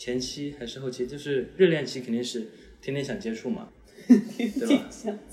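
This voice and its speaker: Somewhat breathy and at a medium pitch, a man makes very wide pitch swings at a moderate pace, with audible room echo. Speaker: university student giving dating advice. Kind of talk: casual chat.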